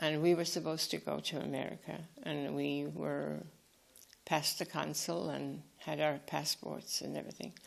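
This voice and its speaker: At a moderate pace, a woman talks in a Tipperary accent. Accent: Irish (Tipperary). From Ireland, Fethard (Co. Tipperary). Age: 90s. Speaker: retired nun. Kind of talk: life story interview. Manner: halting, with false starts.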